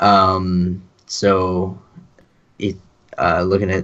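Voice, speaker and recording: The speaker is a man. His voice is fairly low in pitch. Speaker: fantasy baseball podcast co-host. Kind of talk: casual chat.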